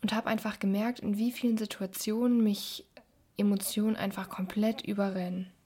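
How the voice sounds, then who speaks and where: A woman speaks at a moderate pace in a fairly high, somewhat breathy voice. Her intonation is monotone and flat. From Germany, Düsseldorf. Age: 20s. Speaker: podcast host. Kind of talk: podcast intro monologue.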